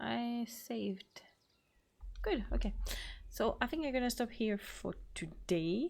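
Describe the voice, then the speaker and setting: Speaking at a fairly slow pace, a woman with a French accent has a fairly high pitch. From France. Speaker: gaming youtuber. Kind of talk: let's play commentary.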